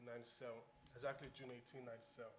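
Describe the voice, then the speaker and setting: A man talks at a medium pitch, and audible room echo hangs around his words. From Nigeria. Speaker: college student. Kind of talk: panel discussion.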